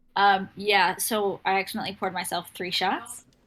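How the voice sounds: The pace is moderate and the tone fairly bright. The pitch barely moves. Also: woman, medium pitch for a woman.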